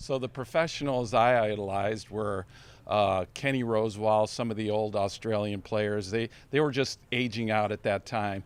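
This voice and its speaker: An unremarkable speaking voice moves at a moderate pace with fairly even intonation against a quiet background. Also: man, fairly low pitch for a man. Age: 60s. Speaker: senior tennis player. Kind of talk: interview.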